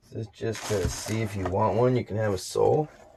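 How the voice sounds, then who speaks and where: With an American accent, a man speaks at a moderate pace and medium pitch, his intonation lively, over noticeable background noise. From California. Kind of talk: casual review talk to camera.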